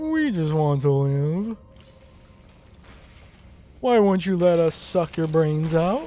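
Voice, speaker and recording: Putting on a menacing character voice at a middle pitch, the speaker goes very slowly with long, frequent pauses. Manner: silly, comically menacing.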